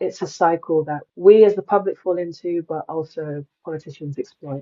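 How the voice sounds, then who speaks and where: Monotone and flat, a woman's voice moves at a moderate pace with a fairly low pitch. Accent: British. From England, Nigerian parents. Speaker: climate journalist and advocate. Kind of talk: podcast interview.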